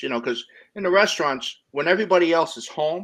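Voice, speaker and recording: Against a quiet background, the speaker uses a New Jersey accent, a fairly quick pace and lively intonation. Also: man. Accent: New Jersey accent, moderate. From New Jersey, US. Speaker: interview guest, former restaurant and delivery worker. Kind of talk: casual interview chat.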